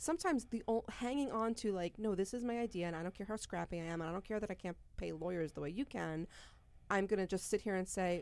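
Using an unremarkable speaking voice, a woman talks at a fairly quick pace with lively intonation. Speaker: podcast host and business executive. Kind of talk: casual chat podcast.

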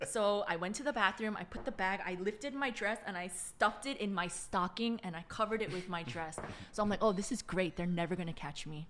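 A woman in a plain, everyday voice speaks at a fairly quick pace with hardly any pauses, medium pitch, and ordinary pitch variation. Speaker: church chief of staff. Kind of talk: casual podcast interview.

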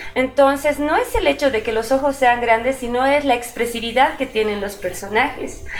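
A woman speaks in a high-pitched voice. There is noticeable noise in the background. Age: 40s. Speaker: illustrator and comic artist. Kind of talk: interview. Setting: at her home studio.

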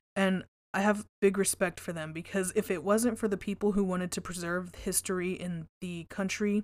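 A woman's medium-pitched voice with fairly even intonation at a moderate pace. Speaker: paranormal podcast host. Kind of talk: solo podcast monologue. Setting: home recording at microphone. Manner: casual, profane; louder, close to microphone.

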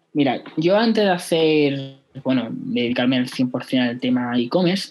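A man's fairly high pitch rises and falls with lively intonation. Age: 20s. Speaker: e-commerce entrepreneur. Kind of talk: casual interview.

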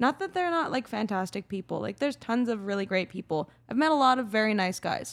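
With a Canadian accent, a woman in an unremarkable speaking voice talks at a fairly high pitch with lively intonation. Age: 20s. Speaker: professional ski jumper. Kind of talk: casual interview.

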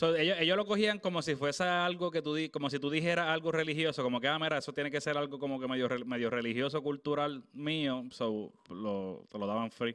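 Speaking in a normal speaking voice, a man keeps a fairly quick pace with hardly any pauses. His pitch is fairly high, with ordinary pitch variation. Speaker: podcast host. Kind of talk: casual chat.

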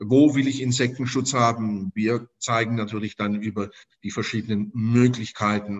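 A man speaks at a moderate pace and medium pitch, with fairly even intonation. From Stuttgart, Germany. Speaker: insect screen business owner. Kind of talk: interview. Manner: halting, many repetitions and fillers.

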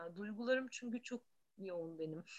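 Her voice has a bright, sharp tone and a fairly high pitch for a woman. The woman's pitch varies in an ordinary way. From Istanbul, Turkey. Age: 40s. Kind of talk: casual chat.

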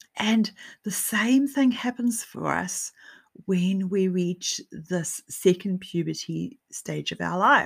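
A woman speaking at a very slow pace, on a very clean recording with a silent background. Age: 40s. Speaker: podcast host and author. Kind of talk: solo podcast monologue. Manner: conversational with frequent fillers.

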